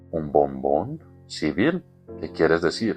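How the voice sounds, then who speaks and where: In a put-on character voice, hoarse and fairly slow, the speaker talks over clear music in the background. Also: man, very deep, low pitch for a man. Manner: pale with dread, shaken.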